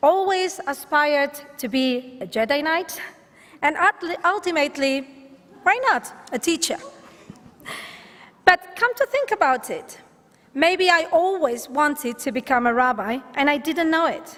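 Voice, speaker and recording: A woman with a Catalan accent speaks at a high pitch with lively intonation. Her pace is fairly slow, with long, frequent pauses. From Catalonia, Spain. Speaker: rabbinical student being ordained. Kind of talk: ordination speech.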